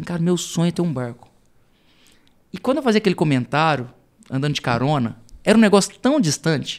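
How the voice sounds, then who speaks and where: The voice makes very wide pitch swings. The recording is very clean with a silent background. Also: man. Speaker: entrepreneur, CEO. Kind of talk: podcast interview. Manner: casual, hesitant with repetitions.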